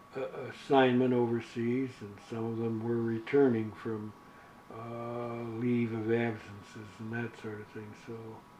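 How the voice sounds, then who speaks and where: Through noticeable background noise and audible room echo, a man talks at a medium pitch and a fairly slow pace in a flat monotone. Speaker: war veteran. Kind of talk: interview. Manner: halting.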